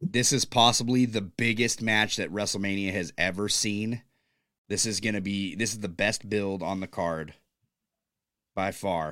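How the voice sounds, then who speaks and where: A man's raspy, put-on character voice, fairly low-pitched, at a fairly slow pace. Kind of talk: sports commentary. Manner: monotone, stilted.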